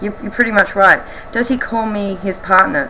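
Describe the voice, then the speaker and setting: Clear background noise sits behind a woman talking at a medium pitch. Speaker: vlogger. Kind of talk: casual Q&A vlog. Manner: hesitant, many ums.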